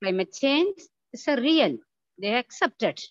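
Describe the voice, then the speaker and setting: Against a quiet background, a woman's high voice swings very widely in pitch, recorded dry with no echo. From Tamil Nadu, India. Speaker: head of botany department. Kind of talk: formal welcome speech. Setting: video call. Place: home room. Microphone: video call.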